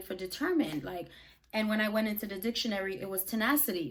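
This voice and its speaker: In a fairly high, somewhat breathy voice, a woman talks at a very fast pace with an animated tone and ordinary pitch variation. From Brooklyn, New York (born in Jamaica). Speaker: YouTuber and podcaster. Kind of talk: casual vlog monologue.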